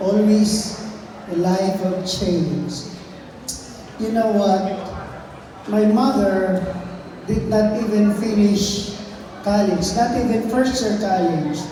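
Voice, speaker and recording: Amid noticeable background noise and audible room echo, a woman speaks at a medium pitch and a very slow pace, with long, frequent pauses and fairly even intonation. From Philippines, Mindanao. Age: 70s. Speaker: motivational speaker. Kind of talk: inspirational talk.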